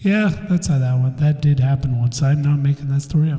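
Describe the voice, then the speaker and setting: A man mumbles at a medium pitch with fairly even intonation. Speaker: podcast host. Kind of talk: casual chat. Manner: mumbling. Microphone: echo from new recording software.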